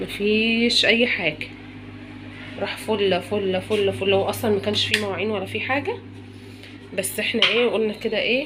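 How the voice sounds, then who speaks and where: Over noticeable background noise and audible room echo, a woman speaks at a medium pitch and moderate pace with fairly even intonation. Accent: Egyptian. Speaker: home lifestyle vlogger. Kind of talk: home cleaning vlog. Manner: casual, chatty.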